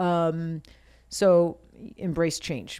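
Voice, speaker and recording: With an American accent, a woman speaks in a fairly low pitch on a very clean recording with a silent background. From Maine, US. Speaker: podcast host, tattoo artist. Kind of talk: casual chat. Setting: studio. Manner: chatty, filler-heavy.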